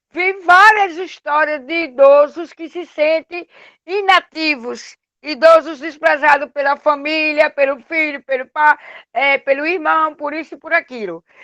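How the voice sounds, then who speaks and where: A woman with a high pitch projects a raised voice in a bright, sharp tone, speaking at a fairly slow pace with fairly even intonation and big swings in loudness, in a dry, close sound with no echo and a quiet background. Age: 60s. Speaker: community resident. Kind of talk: online class discussion.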